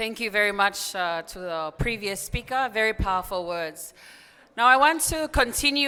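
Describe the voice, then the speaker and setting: In a very clean recording with a silent background, a woman with a Tongan accent speaks at a moderate pace in a bright, sharp tone, her fairly high pitch moving with lively intonation and her loudness swinging widely. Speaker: program fellow, group representative. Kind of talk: conference group report speech. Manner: formal, with filler hesitations.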